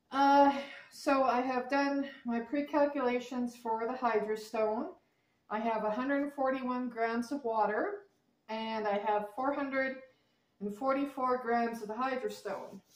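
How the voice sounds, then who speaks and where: A woman with a high pitch and ordinary pitch variation speaks at a fairly slow pace, leaving long, frequent pauses. Audible room echo hangs around her voice. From Canada. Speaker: crafter, video creator; video creator. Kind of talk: tutorial. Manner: halting, many fillers. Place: home room. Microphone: camera far.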